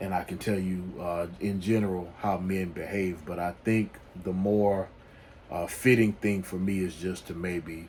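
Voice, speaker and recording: In a Louisiana accent, the speaker talks at a fairly slow pace with monotone, flat intonation. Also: man, very deep, low pitch for a man. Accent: Louisiana Southern US. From US South, Louisiana. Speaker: men's life coach YouTuber. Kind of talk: casual advice monologue. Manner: halting, many fillers and restarts.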